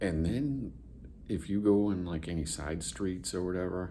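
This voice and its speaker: A man with a very deep, low pitch and a dark, mellow tone speaks at a fairly slow pace with ordinary pitch variation, and audible room echo surrounds him. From New England. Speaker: vlogger. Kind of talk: casual vlog. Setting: hotel room, then outdoors downtown. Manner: casual, halting with fillers.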